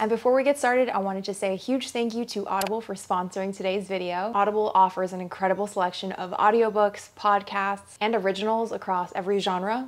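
Barely pausing at all, a woman speaks at a very fast pace with fairly even intonation. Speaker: lifestyle vlogger. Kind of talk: casual vlog chat. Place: home room.

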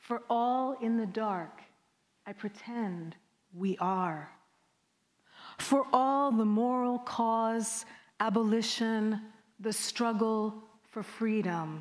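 A woman with a slight Jamaican accent speaks at a very slow pace, with long, frequent pauses. Her pitch is fairly high, with ordinary pitch variation, and the background is quiet. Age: 40s. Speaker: poet. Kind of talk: poetry reading and conversation. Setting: stage with audience. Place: hall. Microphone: lapel.

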